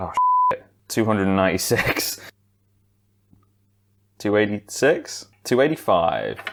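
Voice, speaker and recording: A man with a British accent, fairly slow, with long, frequent pauses. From England. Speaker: YouTuber and streamer. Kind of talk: casual talk to camera. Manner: casual, chatty.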